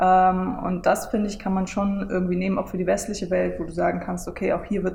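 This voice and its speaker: Noticeable background noise and audible room echo surround a woman's voice. She speaks at a fairly quick pace in a medium pitch with monotone, flat intonation. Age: 20s. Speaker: online marketing lecturer. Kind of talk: casual interview, book presentation. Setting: coworking space in front of a camera.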